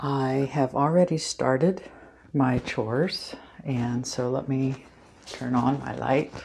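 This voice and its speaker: Soft-spoken woman with a very deep, low pitch, fairly even intonation and a very slow pace. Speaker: plant hobbyist vlogger. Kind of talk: casual vlog tutorial. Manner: hesitant, many ums.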